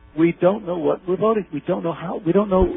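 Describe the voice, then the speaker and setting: High pitch from a man, with noticeable background noise. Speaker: researcher and author. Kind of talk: interview. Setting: phone call. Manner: fast; animated. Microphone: unstable phone connection.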